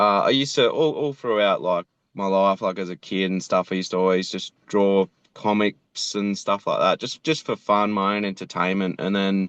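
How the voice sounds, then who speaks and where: A man with an Australian accent and a fairly low pitch, dry and close with no echo, over a quiet background. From Australia, Tweed Heads NSW. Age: 30s. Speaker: animator and voice actor. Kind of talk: casual interview. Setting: video call from his car. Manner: halting, casual.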